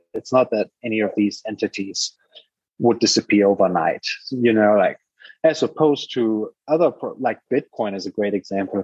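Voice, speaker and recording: Recorded dry and close with no echo, a man with a German accent speaks at a moderate pace and medium pitch with ordinary pitch variation. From Germany. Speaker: startup founder and investor. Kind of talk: casual interview.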